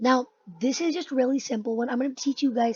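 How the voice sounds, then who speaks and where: A woman speaks at a high pitch in a dry, close sound with no echo. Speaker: Roblox scripting tutorial youtuber. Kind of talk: tutorial. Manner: casual.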